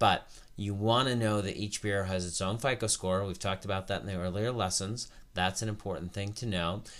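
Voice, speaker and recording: A man with a normal speaking voice talks at a fairly quick pace and fairly low pitch, his intonation fairly even, on a very clean recording over a silent background. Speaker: credit educator. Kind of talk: tutorial.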